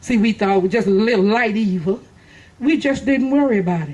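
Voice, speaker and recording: Somewhat breathy and animated, a woman with a Texan accent and a fairly high pitch talks at a moderate pace. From Texas. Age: 60s. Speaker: political speaker. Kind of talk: political speech. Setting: outdoor park event with audience.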